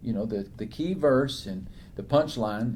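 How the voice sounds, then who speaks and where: Lively intonation marks this man's speech. His tone is dark and mellow, and somewhat breathy. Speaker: author and preacher, interview guest. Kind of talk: interview answer, sermon-like Bible talk.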